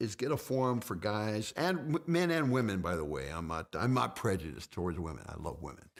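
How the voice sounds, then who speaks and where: A man's fairly low voice with vocal fry, very wide pitch swings and hardly any pauses. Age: 50s. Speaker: fitness guest. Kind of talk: casual chat. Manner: halting.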